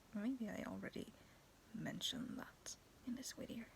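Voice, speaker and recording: With vocal fry in her fairly high pitch, a woman speaks at a moderate pace. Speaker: YouTuber. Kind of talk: casual vlog talk. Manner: animated.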